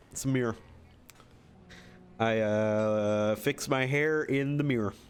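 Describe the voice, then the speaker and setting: A man's medium-pitched voice with a Michigan accent, at a very slow pace with fairly even intonation. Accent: mild Michigan. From Michigan, US Midwest. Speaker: gaming streamer. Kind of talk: casual live-stream chat.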